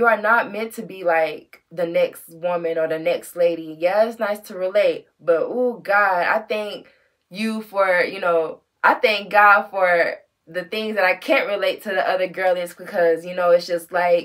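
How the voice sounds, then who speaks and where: This woman talks at a fairly slow pace in a medium pitch, keeping her intonation fairly even. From United States. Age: 30s. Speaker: fashion vlogger. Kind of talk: casual monologue vlog.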